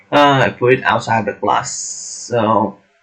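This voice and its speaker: A man with a non-native accent at a very slow pace. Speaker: coding tutor. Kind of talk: tutorial. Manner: halting.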